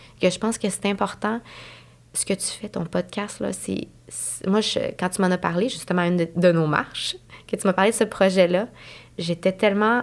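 In a very clean recording with a silent background, a woman uses an ordinary speaking voice at medium pitch, moving at a moderate pace with fairly even intonation. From Montreal anglophone community. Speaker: nurse. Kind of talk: casual interview.

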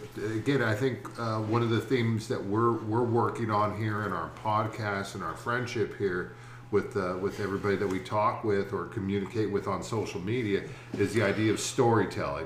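A man's somewhat breathy, fairly low voice with fairly even intonation at a moderate pace. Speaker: podcast co-host and teacher. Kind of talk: casual interview. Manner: hesitant, repeats words.

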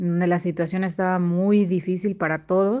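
Her voice at medium pitch, a woman speaks at a fairly slow pace. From Quintana Roo, Mexico. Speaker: working mother, professional. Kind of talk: recorded personal testimony. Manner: halting, repeats words.

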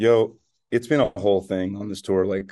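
With an American accent, a man speaks at a fairly low pitch in a dark, mellow tone. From New Jersey. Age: 30s. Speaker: touring musician, podcast co-host. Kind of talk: casual chat. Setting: hotel room.

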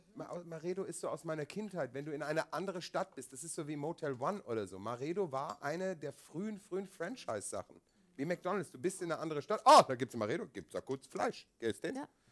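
Very fast and with hardly any pauses, a man with a fairly high, vocal-fry voice and lively intonation comes through in a dry, close sound with no echo. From Asia, German family. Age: 40s. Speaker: podcast co-host and theatre director. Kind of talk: casual chat. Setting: stage with audience.

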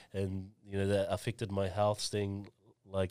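On a very clean recording with a silent background, a man with an Auckland accent talks at a moderate pace in a fairly low voice. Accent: New Zealand (South Auckland). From New Zealand, South Auckland (Mangere). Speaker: education business founder. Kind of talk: casual chat.

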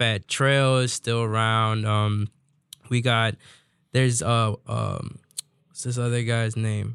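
A man with an American accent talks very slowly in a medium pitch, monotone and flat, leaving long, frequent pauses. The very clean recording has a silent background and a dry, close sound with no echo. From DMV area (Washington DC region), Salvadoran family. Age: 20s. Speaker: corrido singer. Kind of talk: casual interview.

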